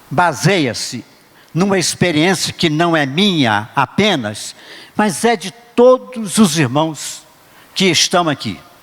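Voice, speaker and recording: Over noticeable background noise, a man talks at a very slow pace. His high-pitched voice makes very wide pitch swings. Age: 80s+. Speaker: preacher. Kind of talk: sermon.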